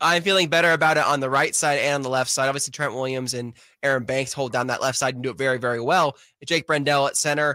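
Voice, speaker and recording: Recorded very cleanly over a silent background, a man uses an unremarkable speaking voice at medium pitch with ordinary pitch variation. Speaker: sports podcast host and beat writer. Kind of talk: casual sports podcast chat.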